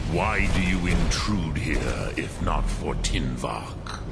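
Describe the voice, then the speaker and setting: Loud background noise surrounds a man's put-on character voice. He speaks very slowly. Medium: machinima. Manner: slow, solemn, formal.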